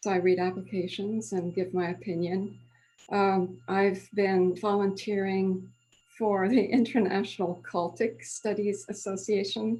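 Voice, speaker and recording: With an American accent, a woman speaks in a medium-pitched, somewhat breathy voice with a dark, mellow tone. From Switzerland, Lausanne (French-speaking), American parents. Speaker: retired French professor. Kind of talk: casual interview. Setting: video call.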